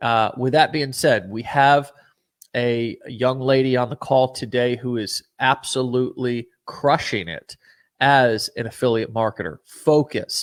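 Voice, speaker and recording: A man with an American accent speaks at a fairly slow pace, his medium pitch held in fairly even intonation. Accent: American-sounding to guest. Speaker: show host and company CEO. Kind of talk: live show interview.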